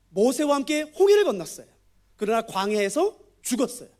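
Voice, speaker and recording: This man speaks at an extremely high pitch. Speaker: guest preacher and Bible teacher. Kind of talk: sermon with Bible teaching. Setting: church, Friday night service. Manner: fast; interactive, asks audience questions.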